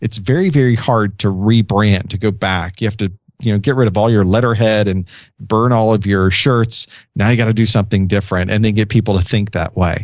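A man talks with fairly even intonation in an unremarkable speaking voice. The recording is very clean, with a silent background. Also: fairly low pitch for a man, fairly quick pace. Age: 40s. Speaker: IT trainer and podcaster. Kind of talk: casual chat.

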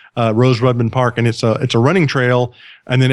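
Very fast speech in a Southern US accent, on a very clean recording with a silent background. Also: man. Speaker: podcast host. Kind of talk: casual chat.

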